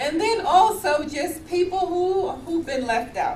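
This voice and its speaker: A woman with an American accent speaks in an animated tone, and the room echo is audible. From US, New York City. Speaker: professor. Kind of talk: keynote talk.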